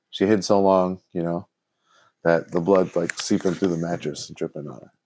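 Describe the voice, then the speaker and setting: A man with a Chicago accent speaks with a very deep, low pitch, a dark, mellow tone and fairly even intonation. The background is quiet and the sound is dry and close with no echo. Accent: Chicago American English. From Chicago, US Midwest. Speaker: podcast co-host. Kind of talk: casual chat.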